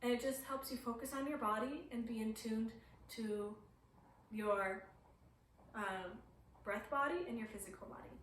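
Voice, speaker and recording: With audible room echo and noticeable background noise, a woman with a fairly high voice talks at a moderate pace, pausing long and often. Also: ordinary pitch variation. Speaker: yoga teacher. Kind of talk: tutorial. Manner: casual, hesitant with fillers.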